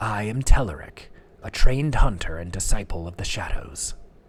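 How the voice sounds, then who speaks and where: A man in a put-on character voice speaks at a fairly low pitch and a moderate pace, with a hissing sound. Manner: affected.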